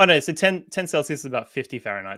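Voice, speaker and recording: With an Australian accent, a man talks at a fairly quick pace in a bright, sharp tone. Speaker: software developer, library maintainer. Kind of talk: livestream chat. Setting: video call livestream.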